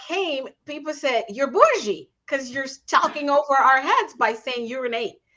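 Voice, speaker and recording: Projecting loudly with a bright, sharp tone, a woman speaks at a high pitch with lively intonation and big swings in loudness. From South America (Caribbean, British English-speaking). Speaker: leadership coach and podcast host. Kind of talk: casual interview conversation. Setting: live stream.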